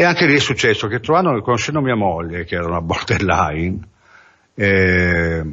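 In a fairly low pitch, a man speaks at a moderate pace with lively intonation. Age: 50s. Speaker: recovering addict giving testimony. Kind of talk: testimony. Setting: radio studio. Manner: halting.

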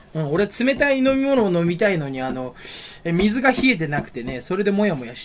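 This man speaks in a high voice that swings very widely in pitch. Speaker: vlogger. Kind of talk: casual chat. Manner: rambling fast monologue. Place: home room. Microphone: built-in camera mic, voice quiet; webcam.

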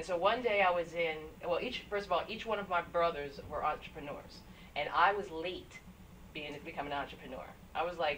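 Over light background noise, the speaker talks at a fairly quick pace. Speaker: guest. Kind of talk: interview answer. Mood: cheerful, self-deprecating. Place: studio.

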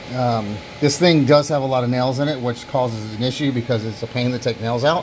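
A man at a fairly quick pace, with ordinary pitch variation over light background noise. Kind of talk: tutorial. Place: workshop. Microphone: camera far.

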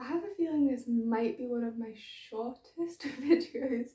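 The woman's voice sits high, with ordinary pitch variation and a moderate pace. The background is quiet, though audible room echo comes through. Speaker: knitting podcaster. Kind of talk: casual vlog chat. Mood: cheerful, laughing. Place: home room. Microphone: phone near.

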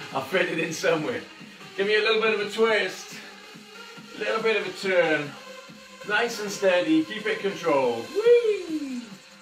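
Over clear background music and audible room echo, a man talks at a moderate pace with long, frequent pauses. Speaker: fitness instructor. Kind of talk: live workout class instruction. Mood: jokey, upbeat. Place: home room. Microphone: camera far.

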